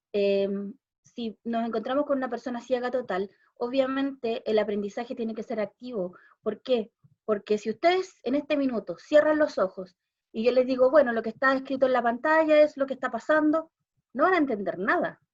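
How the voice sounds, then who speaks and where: This woman's voice sits high in pitch. Its pitch variation is ordinary. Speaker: special education teacher, visual impairment expert. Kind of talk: talk at a panel discussion. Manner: fast.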